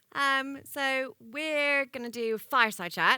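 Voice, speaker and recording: A woman's bright, sharp voice with lively intonation, on a very clean recording with a silent background. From United States. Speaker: tech founder and interviewer. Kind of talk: on-stage fireside chat interview. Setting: stage with audience.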